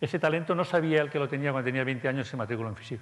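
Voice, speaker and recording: A man with a fairly high pitch talks at a very fast pace with lively intonation, captured in a very clean recording over a silent background. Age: 50s. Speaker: conference speaker. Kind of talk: conference talk. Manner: halting, many fillers.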